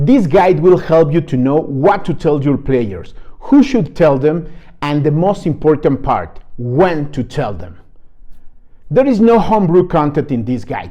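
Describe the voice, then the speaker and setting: A man speaks with a non-native accent at a fairly slow pace. His fairly high voice has a dark, mellow tone, lively intonation and vocal fry. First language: not English. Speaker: game guide creator. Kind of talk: product walkthrough.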